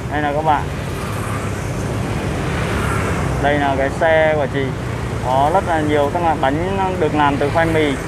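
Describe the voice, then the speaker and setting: The speech moves at a moderate pace with long, frequent pauses, a dry sound with no echo, and loud background noise. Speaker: street food vlogger. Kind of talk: casual vlog chat. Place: street. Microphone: phone near.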